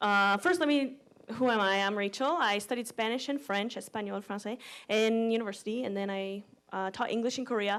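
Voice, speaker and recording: Over a very clean recording and silent background, a woman talks at a fairly quick pace. Her pitch variation is ordinary. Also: fairly high pitch for a woman. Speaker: conference speaker. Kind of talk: lightning talk. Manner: fast.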